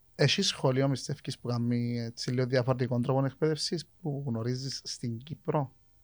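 A man with a Cypriot accent, at a moderate pace, with fairly even intonation and hardly any pauses. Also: medium pitch for a man. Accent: Cypriot Greek. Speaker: podcast host. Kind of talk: casual chat.

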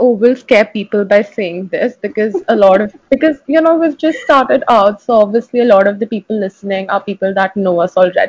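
With few pauses, a woman speaks in a slightly mellow tone. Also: medium pitch for a woman, ordinary pitch variation, fairly quick pace.

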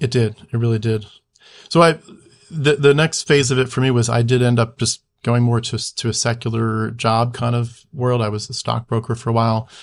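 With a normal speaking voice, a man keeps a moderate pace, a medium pitch and fairly even intonation. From US Northeast (Philadelphia area). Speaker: YouTuber, former missionary trainee. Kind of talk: casual interview chat.

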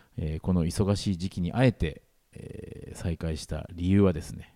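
A man's voice sits at a very deep, low pitch with a dark, mellow tone. He speaks at a moderate pace. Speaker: radio host. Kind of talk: casual chat. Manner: higher pitch than usual.

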